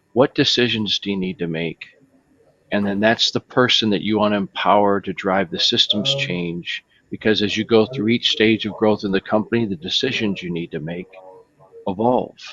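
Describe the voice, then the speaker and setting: Talking at a moderate pace in a Michigan accent, a man has a fairly low pitch and ordinary pitch variation. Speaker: software company executive. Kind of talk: panel discussion.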